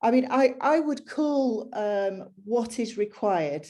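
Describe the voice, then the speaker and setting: A woman speaks with a northern English accent in a dark, mellow tone. Her pitch variation is ordinary, and the background is quiet. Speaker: business executive. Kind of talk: panel discussion. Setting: video call.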